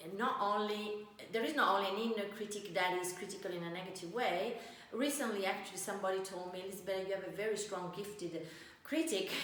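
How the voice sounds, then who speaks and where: Speaking very fast with an Italian accent, a woman uses a medium pitch and ordinary pitch variation, with audible room echo and noticeable background noise. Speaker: life coach. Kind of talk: teaching talk. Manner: halting.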